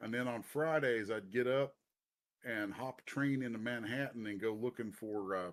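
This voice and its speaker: In a very clean recording with a silent background, a man with a Kentucky accent speaks at a medium pitch. His pace is fairly slow, with ordinary pitch variation. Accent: Kentucky accent, once hidden, now kept. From Eastern Kentucky (Bath County, Appalachia). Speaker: comic book writer and artist. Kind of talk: live interview. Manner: casual, halting with repetitions.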